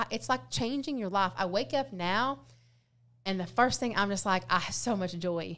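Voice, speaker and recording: On a very clean recording with a silent background, a woman speaks loudly at a medium pitch. Her voice has vocal fry and very wide pitch swings. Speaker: weight loss influencer. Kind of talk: casual chat. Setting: studio. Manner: fast.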